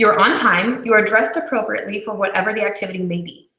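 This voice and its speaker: Amid audible room echo, a woman talks very fast at a fairly high pitch with ordinary pitch variation. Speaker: video chat host. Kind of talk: live personality quiz presentation. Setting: live video hangout broadcast.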